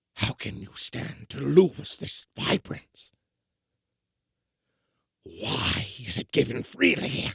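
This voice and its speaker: A man speaks in a raspy, put-on character voice at a medium pitch. He talks very slowly, with long, frequent pauses. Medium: audio drama. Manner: cautious, afraid.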